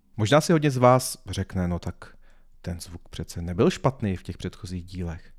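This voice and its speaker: This is a very clean recording of a man against a silent background. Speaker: podcast host and business trainer. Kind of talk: solo podcast monologue. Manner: halting, stumbling over words. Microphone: new high-quality podcast microphone.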